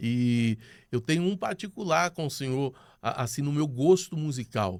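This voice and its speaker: Recorded very cleanly against a silent background, a man with a fairly high pitch speaks at a fairly slow pace with lively intonation. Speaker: podcast host. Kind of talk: casual interview chat.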